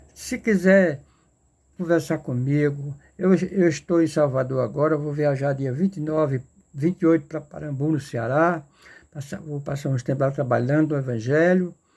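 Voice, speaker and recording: A man's fairly high, somewhat breathy voice at a moderate pace, with ordinary pitch variation, on a very clean recording with a silent background. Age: 70s. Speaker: lay preacher. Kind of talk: sermon. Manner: halting, repetitive.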